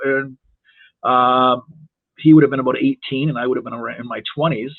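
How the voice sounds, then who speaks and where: Speaking with an Ontario accent, a man uses a fairly high pitch and ordinary pitch variation. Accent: Canadian (Ontario). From Toronto, Canada. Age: 60s. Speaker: wrestling referee. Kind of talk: podcast interview. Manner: halting.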